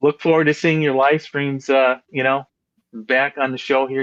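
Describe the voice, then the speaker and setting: In a dry, close sound with no echo, a man speaks in a plain, everyday voice at a medium pitch and a moderate pace. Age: 60s. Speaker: fishing show host. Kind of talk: casual chat.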